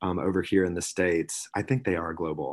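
The quiet background holds a man with an American accent. His intonation is fairly even. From US South, South Carolina. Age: 30s. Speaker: employer branding manager at a tech company. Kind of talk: interview. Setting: remote call.

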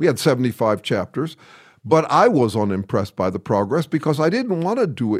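A man with an American accent, fairly high in pitch, at a fairly quick pace, with very wide pitch swings and vocal fry, in a very clean recording with a silent background. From US Midwest, Chicago. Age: 60s. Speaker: researcher in science and philosophy. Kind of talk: interview conversation. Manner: halting, many fillers.

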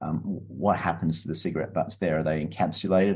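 With an Australian accent, a man talks at a fairly quick pace in a very deep, low pitch and a dark, mellow tone, with ordinary pitch variation. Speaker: environmental entrepreneur. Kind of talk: interview.

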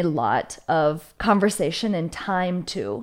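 On a very clean recording with a silent background, a woman talks with an American accent. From US Midwest, small town southwestern Minnesota. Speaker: podcast host. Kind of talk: casual interview.

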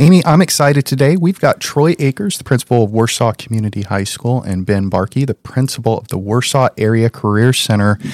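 A man at a medium pitch, talking at a fairly quick clip with hardly any pauses and lively intonation. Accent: Midwestern American. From Indiana. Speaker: school district technology officer, podcast co-host. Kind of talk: casual chat.

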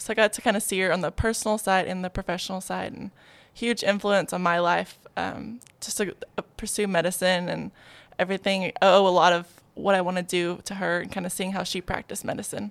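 With an American accent, a woman talks at a fairly quick pace and a medium pitch. Her intonation is monotone and flat, with vocal fry. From Arkansas, US South. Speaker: family medicine resident physician. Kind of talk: casual interview.

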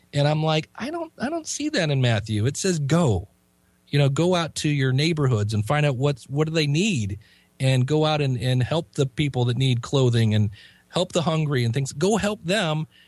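A man with an American accent speaks at a moderate pace in a fairly high, somewhat breathy voice with lively intonation. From US Midwest, Ohio. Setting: Skype call.

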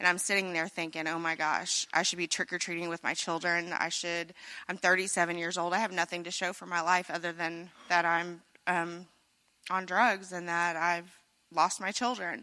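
A woman with an American accent speaks at a fairly low pitch with a bright, sharp tone. Her intonation is monotone and flat at a moderate pace, in a very clean recording with a silent background. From Missouri, US. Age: 30s. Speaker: recovery program resident giving testimony. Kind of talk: personal testimony.

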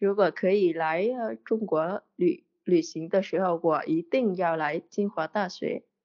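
Hardly pausing, a woman with a Vietnamese accent speaks at a medium pitch and a fairly slow pace. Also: ordinary pitch variation. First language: Vietnamese (speaking Chinese). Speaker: podcast listener, Chinese learner. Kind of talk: casual interview chat. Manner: halting, many fillers and repetitions.

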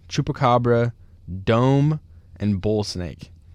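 A man with an American accent, medium pitch, very slow pace and ordinary pitch variation. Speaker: disc golf podcast host. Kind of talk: casual chat. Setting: studio.

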